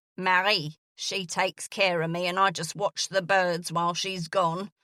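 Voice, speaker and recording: A woman's gravelly put-on character voice at medium pitch, flat and monotone, moderate in pace, in a very clean recording with a silent background. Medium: read story. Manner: blunt, impatient.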